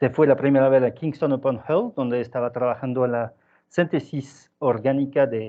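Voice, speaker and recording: Speaking at a fairly slow pace, a man talks with a French accent. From southern France. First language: French (speaking Spanish). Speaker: scientist. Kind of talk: seminar talk. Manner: halting.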